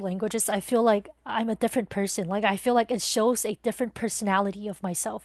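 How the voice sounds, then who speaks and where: With a Mandarin accent, a woman speaks at a fairly quick pace in a fairly high pitch and fairly even intonation, the sound dry and close with no echo over a quiet background. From Taiwan. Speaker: podcast guest. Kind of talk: interview. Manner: hesitant, many fillers.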